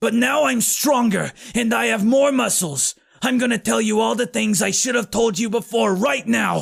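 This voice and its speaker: In a raspy, put-on character voice pitched high, a man talks at a moderate pace with hardly any pauses. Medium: read story. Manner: earnest.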